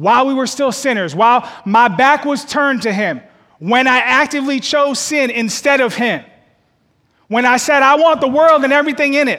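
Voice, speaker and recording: A man's raised, projected voice sits at an extremely high pitch, with a bright, sharp tone, ordinary pitch variation and a moderate pace. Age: 30s. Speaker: associate pastor. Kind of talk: sermon. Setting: church service with live audience and online stream.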